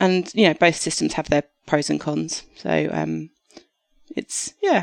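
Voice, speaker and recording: With a slight Australian accent, a woman talks at a fairly slow pace in a dry, close sound with no echo. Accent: English with slight acquired Australian twang. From southeast England. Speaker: doctor. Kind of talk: podcast interview. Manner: hesitant, many fillers.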